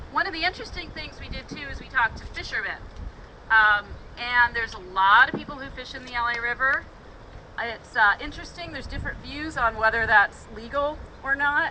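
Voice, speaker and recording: Her voice high, a woman speaks fairly quickly with ordinary pitch variation and big swings in loudness over noticeable background noise. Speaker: river tour guide. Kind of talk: guided tour talk outdoors.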